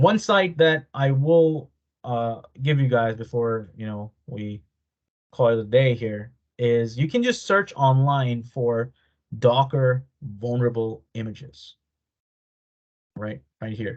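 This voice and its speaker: A man with a medium pitch and ordinary pitch variation speaks very slowly, with long, frequent pauses and big swings in loudness. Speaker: cybersecurity instructor. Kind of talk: live online workshop tutorial.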